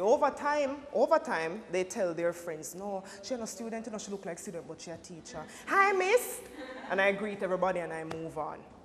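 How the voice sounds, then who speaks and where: Noticeable background noise accompanies a very fast voice with very wide pitch swings. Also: woman. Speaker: teacher. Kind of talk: panel discussion.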